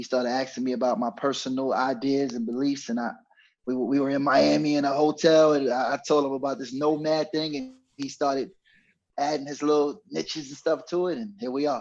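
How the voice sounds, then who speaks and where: The speaker has a New York accent and fairly even intonation. The pace is fairly quick. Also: man, fairly high pitch for a man. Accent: New York (Bronx). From New York, the Bronx. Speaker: podcast co-host, former road manager. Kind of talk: casual chat.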